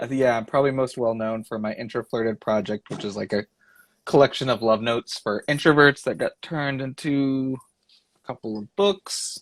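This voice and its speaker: Speaking at a fairly quick pace with a Texan accent, a man uses a medium pitch and ordinary pitch variation, recorded very cleanly against a silent background with a dry, close sound and no echo. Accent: Texan, says things as fangs. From Texas. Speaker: illustrator and creative director. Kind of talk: casual interview chat. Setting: Instagram live video.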